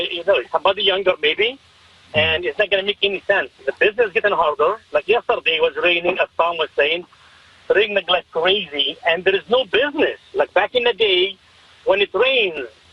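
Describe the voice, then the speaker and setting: Amid noticeable background noise, a man speaks fairly quickly at a high pitch with ordinary pitch variation. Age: 50s. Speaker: taxi driver. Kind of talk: radio interview. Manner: animated.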